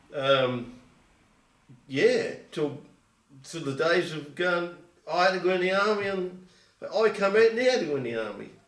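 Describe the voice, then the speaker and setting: Speech in an Essex accent at a moderate pace, with lively intonation, long, frequent pauses and audible room echo. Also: man, high pitch for a man. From England, Colchester, Essex. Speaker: oral history interviewee. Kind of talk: oral history interview. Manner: halting.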